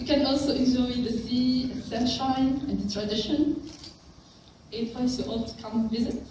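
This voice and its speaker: In a room with audible echo and light background noise, a woman speaks at a moderate pace in a high, flat, monotone voice. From Tunisia. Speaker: engineering student and wiki volunteer; conference presenter. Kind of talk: conference talk. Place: meeting room. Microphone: camera far.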